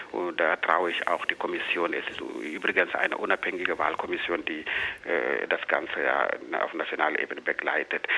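A man talks at a moderate pace while noticeable background noise carries under his voice. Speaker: political commentator. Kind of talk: interview. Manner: halting.

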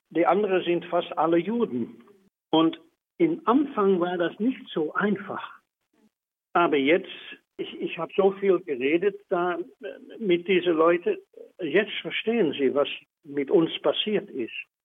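Very slow speech from a man, high-pitched, with ordinary pitch variation and long, frequent pauses. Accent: Dutch. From Netherlands. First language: Dutch (speaking German). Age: 80s. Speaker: Holocaust survivor and civil rights activist. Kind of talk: interview.

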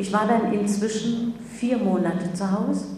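Against noticeable background noise and audible room echo, a woman speaks at medium pitch with fairly even intonation. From Germany, Magdeburg. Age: 70s. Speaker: Holocaust-era survivor, eyewitness. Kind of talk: public talk, testimony. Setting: lecture with audience.

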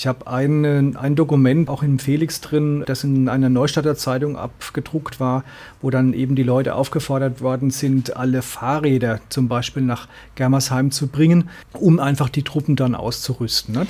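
A man's dark, mellow, somewhat breathy voice, monotone and flat, at a moderate pace on a very clean recording with a silent background. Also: medium pitch for a man. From Ludwigshafen and Mannheim, Kurpfalz region, southwestern Germany. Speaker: author and teacher trainer. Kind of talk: radio interview. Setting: radio studio.

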